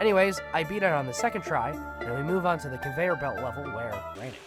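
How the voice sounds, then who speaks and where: Someone speaks at a very fast pace with music in the background. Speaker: gaming video narrator. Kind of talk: gameplay commentary voice-over. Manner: fast, casual.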